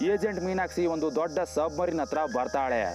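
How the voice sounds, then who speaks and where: Music in the background beneath a fairly high-pitched male voice. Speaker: voiceover narrator. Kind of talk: movie plot recap narration. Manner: casual, humorous storytelling.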